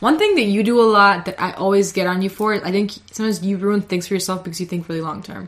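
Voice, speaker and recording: Noticeable background noise sits behind a woman of medium pitch. She talks very fast with hardly any pauses. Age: 20s. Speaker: podcast co-host. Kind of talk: casual chat. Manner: animated.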